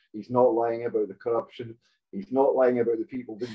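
A man talks at a fairly quick pace with a Hebridean accent. The background is quiet. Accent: Hebridean Scottish. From Scotland, Outer Hebrides (Stornoway); Scotland. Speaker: storyteller guest; guest. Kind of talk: casual chat. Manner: animated, profane. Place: home room. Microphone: video call.

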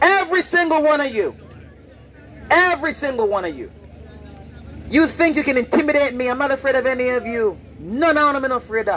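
A loud man with an extremely high pitch and lively intonation, talking at a fairly quick pace with long, frequent pauses over crowd noise in the background. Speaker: street preacher. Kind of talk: street sermon, confrontational open-air preaching to passersby; open-air street preaching. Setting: outdoors, street with passersby. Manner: loud, insistent, repeating warnings and commands; bold, defiant, unafraid of hecklers. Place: street.

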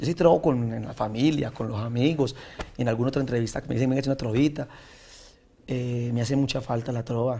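Dark and mellow in tone, this man's medium-pitched voice moves along at a fairly quick pace. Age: 30s. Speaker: senator and trova singer; senator. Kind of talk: interview. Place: studio. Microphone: lapel.

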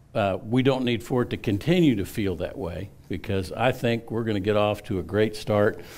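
A man speaks at a moderate pace in a fairly low voice with ordinary pitch variation. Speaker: pastor. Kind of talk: sermon. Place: church.

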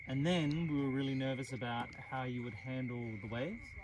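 A man speaks with ordinary pitch variation at a moderate pace while noticeable background noise plays. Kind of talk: casual vlog chat. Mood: warm, amused storytelling. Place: boat.

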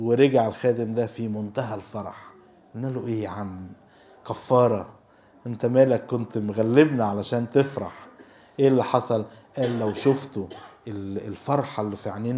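Fairly even intonation at a fairly slow pace, with big swings in loudness. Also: man. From Egypt. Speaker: church servant and speaker; speaker. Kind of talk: sermon. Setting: church. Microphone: handheld.

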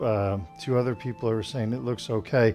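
A man talks at a moderate pace while faint music plays behind him. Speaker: tai chi instructor. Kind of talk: casual live-class chat. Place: home room.

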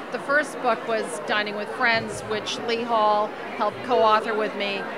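Crowd noise fills the background. A woman speaks at a fairly slow pace. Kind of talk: interview answer. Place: hall. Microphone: handheld.

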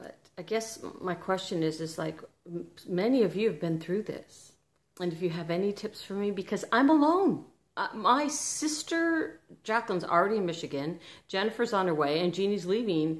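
Woman at a fairly quick pace, with very wide pitch swings. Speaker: vlogger. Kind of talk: casual emotional vlog chat. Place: home room. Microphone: phone near.

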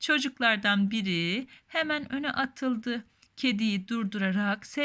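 This is an unforced reading voice. Its pitch varies in an ordinary way.

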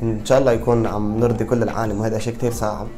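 A man speaks at a fairly quick pace while light background noise plays underneath. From Baalbek, Lebanon. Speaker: singer. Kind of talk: interview answer. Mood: cheerful, smiling. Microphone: lapel.

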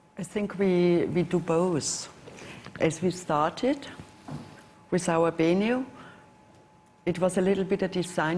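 Over light background noise, a woman with a German accent speaks at a moderate pace in a fairly low voice. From Germany. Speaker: watch brand executive; panelist. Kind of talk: panel discussion. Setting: stage with audience. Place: hall.

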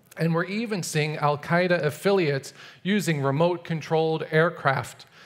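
A man's voice at a moderate pace with ordinary pitch variation. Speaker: conference speaker. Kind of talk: prepared talk. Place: stage. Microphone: headset.

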